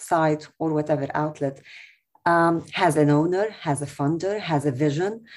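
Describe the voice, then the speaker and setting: In an Arabic accent, a woman speaks. Her pace is fairly slow. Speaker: TV journalist. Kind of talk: webinar panel discussion. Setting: video call.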